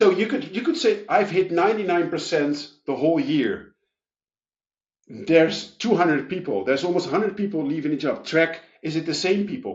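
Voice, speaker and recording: With lively intonation, a man with a high pitch talks at a moderate pace. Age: 30s. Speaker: payroll expert and author. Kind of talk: podcast interview.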